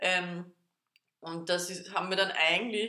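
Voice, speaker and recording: A woman at a medium pitch talks with fairly even intonation in an ordinary speaking voice. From Austria, Vienna. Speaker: podcast co-host. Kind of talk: casual chat.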